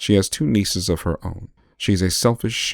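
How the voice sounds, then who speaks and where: The recording is very clean, with a silent background. A man with a normal speaking voice talks at a fairly quick pace. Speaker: aspiring voiceover artist. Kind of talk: ASMR audiobook reading for sleep.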